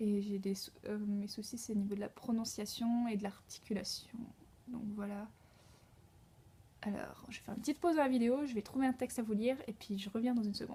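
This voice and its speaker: Long, frequent pauses in a fairly quick delivery, with fairly even intonation and a somewhat breathy quality. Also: woman, fairly high pitch for a woman. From France. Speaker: au pair vlogger. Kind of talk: casual vlog monologue. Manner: hesitant, many fillers.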